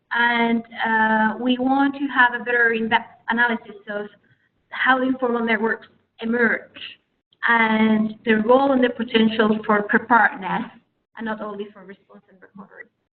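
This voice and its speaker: Loudness swings widely at a moderate pace. The intonation stays monotone and flat. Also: woman, fairly high pitch for a woman. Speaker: researcher. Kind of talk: webinar presentation. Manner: halting, many fillers.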